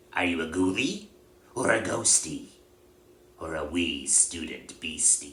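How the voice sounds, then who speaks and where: Putting on a character voice with a very deep, low pitch, the man speaks at a fairly slow pace with long, frequent pauses. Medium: read story. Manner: greasy, fawning.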